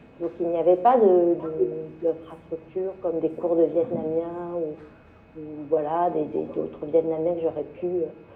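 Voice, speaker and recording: Noticeable background noise sits behind a woman's fairly slow speech. Her pitch is fairly low and her intonation is monotone and flat. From France, Le Mans. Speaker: journalist. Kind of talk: panel discussion. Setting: book fair round table. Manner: halting, many fillers and repetitions.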